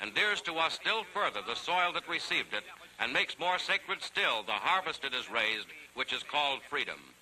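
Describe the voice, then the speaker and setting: Speaking at a fairly quick pace, a man makes very wide pitch swings. Noticeable background noise is present. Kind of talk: 1940s newsreel narration. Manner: brisk, authoritative.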